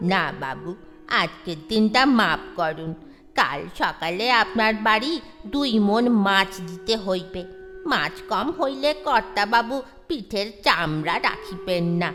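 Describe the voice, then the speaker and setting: A female-sounding put-on character voice at middle pitch and a fairly slow pace, with clear music in the background. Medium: audio drama. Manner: deferential, respectful to his betters.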